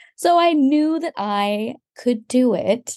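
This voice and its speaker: A woman with an American accent, a dark, mellow tone and very wide pitch swings, against a quiet background. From Texas. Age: 40s. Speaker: philosopher and aerial athlete. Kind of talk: interview testimony.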